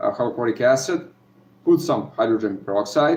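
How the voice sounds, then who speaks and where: The speaker talks at a moderate pace with ordinary pitch variation. A Serbian accent comes through. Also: man. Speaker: gold recovery hobbyist youtuber. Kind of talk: live stream chat. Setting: live video from home. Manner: halting, many fillers.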